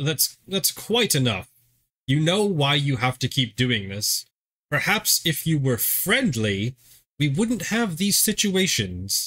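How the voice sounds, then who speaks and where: A man's put-on character voice, fairly high-pitched with very wide pitch swings, at a fairly slow pace on a very clean recording with a silent background. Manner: stern, instructive.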